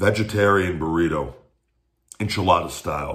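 Very deep, low male voice, somewhat breathy, with ordinary pitch variation against a quiet background. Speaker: food reviewer. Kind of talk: casual vlog chat. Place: kitchen. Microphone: phone near.

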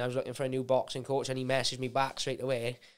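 A Welsh accent against a quiet background. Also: man. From Wales. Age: 20s. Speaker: UFC fighter; guest. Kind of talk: casual chat. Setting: studio. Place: studio. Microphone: studio mic.

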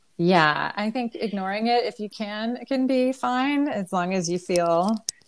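In a normal speaking voice, a woman with fairly high pitch talks at a fairly slow pace. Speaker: online high school English teacher. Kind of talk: interview discussion.

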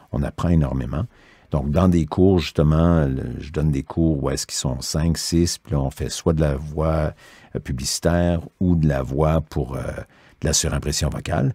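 Fairly even in intonation, the voice has a dark, mellow tone and a fairly slow pace, with a dry, close sound and no echo. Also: man, very deep, low pitch for a man. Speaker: voice actor. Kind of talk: interview.

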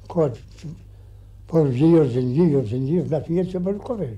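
A man talks at a fairly slow pace in a somewhat breathy voice with a dark, mellow tone. His intonation is lively. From Ireland; County Clare. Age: 80s+. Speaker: farmer. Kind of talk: interview answer. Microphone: old recording.

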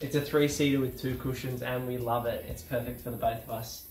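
A man talking at a very fast pace with fairly even intonation, audible room echo, and faint music in the background. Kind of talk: casual vlog house tour. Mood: cheerful, joking. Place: home room.

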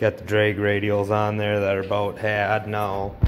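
With light background noise behind him, a man speaks very slowly at a fairly low pitch. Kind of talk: casual vlog chat. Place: garage. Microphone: phone near.

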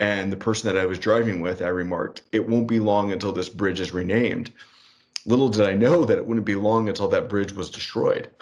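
A man with an unremarkable speaking voice talks at a fairly quick pace, with fairly even intonation and a fairly low pitch. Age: 30s. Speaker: podcast co-host. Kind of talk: casual political discussion.

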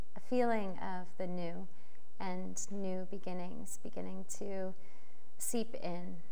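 A woman talks at a very slow pace. Her intonation is monotone and flat. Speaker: spiritual guide channeling monthly message. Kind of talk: guided prayer, soothing channelled reading with gentle invocations of gratitude and hope. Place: home room. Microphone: lapel.

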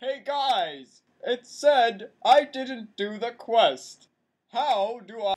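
Speaking at a very slow pace, a man with an extremely high pitch shows ordinary pitch variation and big swings in loudness. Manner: dim, eager, whiny.

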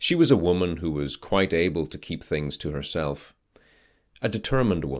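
Against a quiet background, a man with a very deep, low pitch and vocal fry talks at a moderate pace. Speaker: voice actor. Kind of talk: audiobook-style literary narration. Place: studio. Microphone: studio mic.

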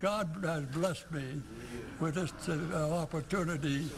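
With clearly audible noise in the background, a man talks in fairly even intonation. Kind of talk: interview answer. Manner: frail, elderly, halting voice. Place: hall.

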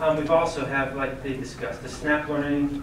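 There is audible room echo and noticeable background noise as a man speaks with monotone, flat intonation. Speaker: presenter. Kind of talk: presentation to board. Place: meeting room.

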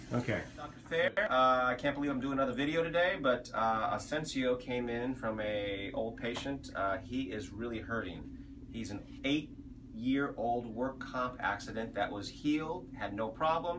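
Noticeable background noise beneath a voice of ordinary pitch variation. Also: man, moderate pace. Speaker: chiropractor. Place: office. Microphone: camera far.

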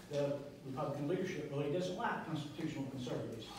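A man speaks against light background noise, his voice carrying strong room echo. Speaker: candidate. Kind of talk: campaign speech. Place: cafe. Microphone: camera far.

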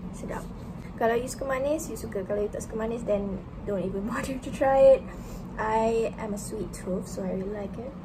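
Over noticeable background noise, a woman talks very fast at a fairly high pitch with ordinary pitch variation. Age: 20s. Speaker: medical student. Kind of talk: casual vlog talk to camera. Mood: relaxed, playful. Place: home room. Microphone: phone near.

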